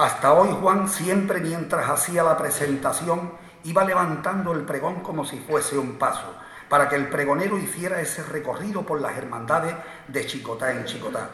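Noticeable background noise sits under a man's high-pitched voice, solemn in tone, with ordinary pitch variation at a moderate pace. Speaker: presenter introducing the proclaimer, brotherhood official. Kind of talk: formal ceremonial introduction. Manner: formal, solemn.

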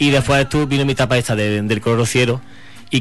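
Music sits in the background while a man speaks at a very fast pace. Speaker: singer. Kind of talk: interview.

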